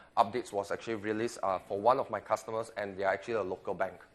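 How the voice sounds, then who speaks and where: The speaker is a man. The background is quiet. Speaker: technical conference presenter. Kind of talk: technical presentation. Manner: fast.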